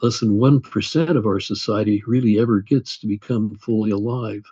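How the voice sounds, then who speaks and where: This man talks at a moderate pace with a medium pitch. His voice is somewhat breathy, with ordinary pitch variation. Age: 80s+. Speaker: author and attorney. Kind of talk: interview.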